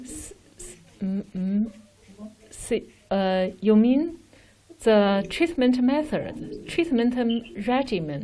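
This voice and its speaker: Somewhat breathy and dark, mellow in tone, a woman with a Chinese accent speaks at a very slow pace and a fairly high pitch, with very wide pitch swings, big swings in loudness and long, frequent pauses. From China. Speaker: respiratory doctor. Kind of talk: Q&A with overseas doctors. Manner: halting, hesitant.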